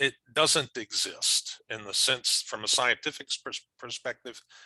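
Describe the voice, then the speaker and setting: A man's bright, sharp tone at a fairly slow pace, dry and close with no echo. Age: 60s. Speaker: professor. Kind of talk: lecture. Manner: halting.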